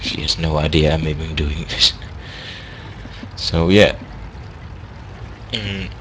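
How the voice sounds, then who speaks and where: Over noticeable background noise, a man with a very deep, low voice speaks at a fairly slow pace with lively intonation. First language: not English. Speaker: gaming commentator. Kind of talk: gameplay commentary. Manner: halting.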